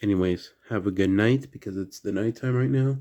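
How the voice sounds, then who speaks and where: A quiet man with an American accent, fairly low in pitch, at a moderate pace with ordinary pitch variation. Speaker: diecast toy collector YouTuber. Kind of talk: casual unboxing video. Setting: at home at night. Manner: quiet indoor voice.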